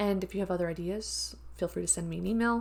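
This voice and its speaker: A woman at a fairly quick pace on a very clean recording with a silent background. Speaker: university instructor. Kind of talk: lecture. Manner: fast.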